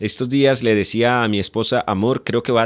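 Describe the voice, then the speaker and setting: A man's medium-pitched voice, with ordinary pitch variation, comes through dry and close with no echo on a very clean recording with a silent background. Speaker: radio host. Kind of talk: casual chat. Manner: sounds like scolding, loud.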